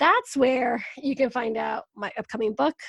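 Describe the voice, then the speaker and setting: In an ordinary speaking voice with an American accent, a woman talks at a moderate pace with fairly high pitch and ordinary pitch variation, recorded very cleanly against a silent background with a dry, close sound and no echo. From Venezuela, raised in the US. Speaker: wellness coach and podcaster. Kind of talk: casual interview chat.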